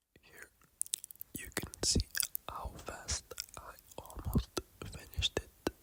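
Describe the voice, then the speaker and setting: A man whispers at a very slow pace with long, frequent pauses and big swings in loudness, recorded dry and close with no echo over noticeable background noise. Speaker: ASMR eating creator. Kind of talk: casual talk to camera. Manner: whispered.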